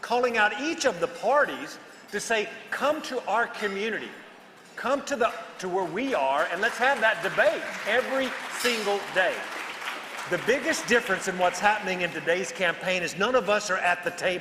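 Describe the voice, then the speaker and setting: Over crowd noise in the background, a man with an American accent projects a raised voice at a high pitch with lively intonation. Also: moderate pace. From Texas. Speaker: political commentator, podcast co-host. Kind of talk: panel discussion.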